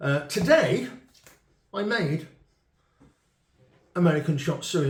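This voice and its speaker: A man with a British accent speaks at a fairly slow pace in a fairly high pitch. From UK. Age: 50s. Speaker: retired chef. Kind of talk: casual chat. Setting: on camera with a cameraman.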